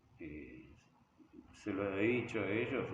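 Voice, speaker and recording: A man's fairly low voice with lively intonation and audible room echo. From Argentina, Buenos Aires province (Hortensia, near Bolívar). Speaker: rock musician and teacher. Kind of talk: interview. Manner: halting, with repetitions.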